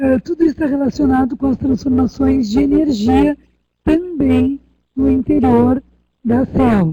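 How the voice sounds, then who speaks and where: In a dry, close sound with no echo, a woman with high pitch and a dark, mellow tone speaks at a fairly slow pace with ordinary pitch variation. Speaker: university lecturer. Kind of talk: online lecture.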